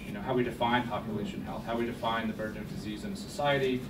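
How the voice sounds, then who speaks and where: Very fast male speech at medium pitch, with audible room echo and noticeable background noise. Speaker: think tank researcher. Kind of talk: panel presentation. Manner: soft-spoken.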